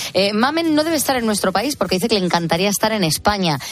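A woman's voice over noticeable background noise. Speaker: radio co-host reading listener messages. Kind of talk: casual chat. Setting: studio.

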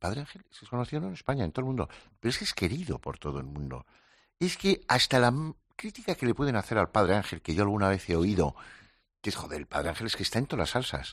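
Over a quiet background, a man talks at a very fast pace. His voice has vocal fry and very wide pitch swings. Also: fairly low pitch for a man, big swings in loudness. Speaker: psychologist. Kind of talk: casual conversation.

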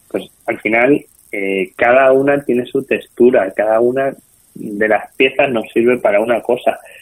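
This man has an ordinary speaking voice, medium in pitch, moving at a moderate pace with fairly even intonation. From Spain, Toledo. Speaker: restaurateur and hospitality school director. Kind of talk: interview.

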